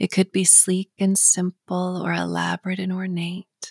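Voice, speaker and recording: Somewhat breathy, a woman speaks at a medium pitch in a soothing, calm tone. The recording is very clean with a silent background. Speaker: hypnotherapist. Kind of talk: guided hypnosis. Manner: slow, soothing, calm and gentle, rhythmic countdown.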